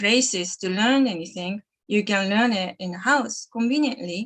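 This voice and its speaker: A woman speaks with a Japanese accent at a fairly slow pace. The sound is dry and close, with no echo. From Japan, Sapporo, Hokkaido. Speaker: animal communicator. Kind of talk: live stream talk. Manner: halting.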